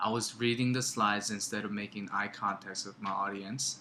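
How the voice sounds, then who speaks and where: A man speaks in a Korean accent at a moderate pace. His pitch is fairly low. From South Korea. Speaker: student. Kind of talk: class presentation. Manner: halting, with filler words and pauses.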